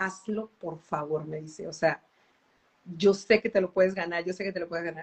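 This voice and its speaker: A woman talks at a moderate pace in a plain, everyday voice. Her pitch sits in the medium range. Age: 40s. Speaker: professional musician and singer. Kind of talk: interview on a live stream. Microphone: unstable internet connection.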